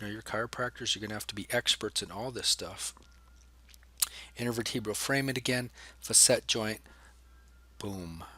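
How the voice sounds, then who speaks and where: This man's medium-pitched voice has a bright, sharp tone and fairly even intonation. He leaves long, frequent pauses. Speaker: anatomy professor. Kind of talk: lecture. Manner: fast.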